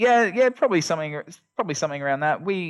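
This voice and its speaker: A man talks with an Australian accent. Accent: Australian, noticeable to Americans. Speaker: SEO agency owner. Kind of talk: podcast interview. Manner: casual, many fillers.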